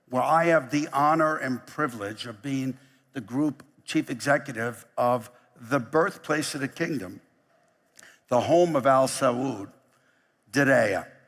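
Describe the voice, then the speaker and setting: Long, frequent pauses break up a man's fairly slow speech in a New York accent. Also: fairly high pitch for a man, ordinary pitch variation, very clean recording, silent background. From US, New York. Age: 60s. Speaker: company chief executive. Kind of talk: keynote speech. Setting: stage with audience.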